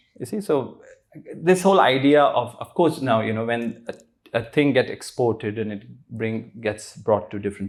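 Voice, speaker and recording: A man of medium pitch speaks with an Indian accent at a moderate pace. His intonation is lively, and the recording is very clean with a silent background. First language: Hindi. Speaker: spiritual teacher. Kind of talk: interview.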